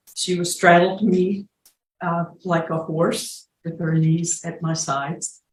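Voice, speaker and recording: The voice is somewhat breathy and monotone, with flat intonation. It moves at a very slow pace. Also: woman, fairly low pitch for a woman. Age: 70s. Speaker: crime victim witness. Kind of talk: testimony. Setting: courtroom.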